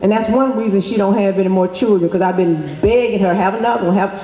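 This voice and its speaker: This voice carries an American accent over noticeable background noise. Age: 50s. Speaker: youth nonprofit founder. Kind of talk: speech to students. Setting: school assembly.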